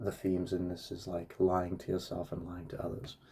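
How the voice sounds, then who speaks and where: A man's voice is very deep and low, with a dark, mellow tone. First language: Russian. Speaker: book reviewer. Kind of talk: casual book review monologue. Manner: halting, with many fillers and restarts.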